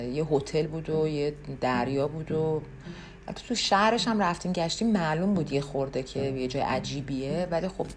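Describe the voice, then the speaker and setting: At a moderate speed, a woman talks in a very deep, low register, her pitch shifting in an ordinary way. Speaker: podcast host. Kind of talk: casual monologue. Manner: conversational with many fillers.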